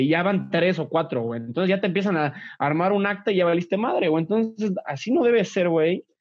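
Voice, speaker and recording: A high-pitched man at a very fast pace, with ordinary pitch variation. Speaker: former college athlete, office worker. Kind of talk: casual chat. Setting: video call.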